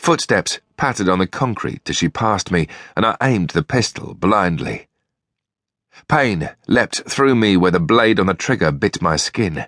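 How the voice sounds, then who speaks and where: A man with a British accent talks at a moderate pace and fairly low pitch, his intonation lively. His loudness is very even, and the sound is dry and close with no echo. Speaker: audiobook narrator. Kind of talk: dramatic audiobook narration, first-person noir fantasy. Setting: studio. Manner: gritty, tense, action-driven delivery.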